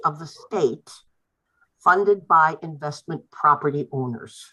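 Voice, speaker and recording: The woman's voice has a bright, sharp tone. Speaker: resident giving public comment. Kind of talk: public comment at council meeting.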